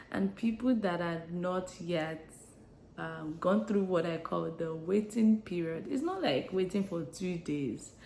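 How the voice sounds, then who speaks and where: Over noticeable background noise, a woman with a fairly low pitch speaks at a fairly slow pace with ordinary pitch variation. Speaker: lifestyle vlogger. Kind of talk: casual vlog monologue. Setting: home, early morning. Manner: soft-spoken; hesitant.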